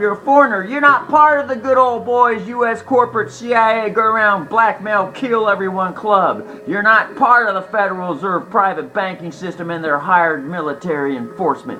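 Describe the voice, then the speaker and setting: A man shouting in a raised, projected voice, high-pitched and passionate, with lively intonation at a moderate pace over noticeable background noise. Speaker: online video lecturer on legal theories. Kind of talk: monologue lesson. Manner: passionate, yelling; repetitive, halting.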